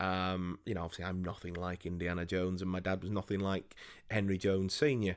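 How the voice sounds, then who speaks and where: Speaking very fast with a Yorkshire accent, a man delivers monotone, flat intonation at a very deep, low pitch on a very clean recording with a silent background. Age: 20s. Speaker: podcast co-host. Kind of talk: casual chat.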